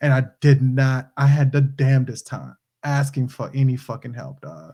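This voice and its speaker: A man speaks at a medium pitch with a slight New Orleans accent and a dark, mellow tone, somewhat breathy. His intonation is fairly even and his pace moderate, though his loudness swings a lot. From New Orleans, Louisiana. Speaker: podcast co-host, movie reviewer. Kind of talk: casual chat. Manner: halting.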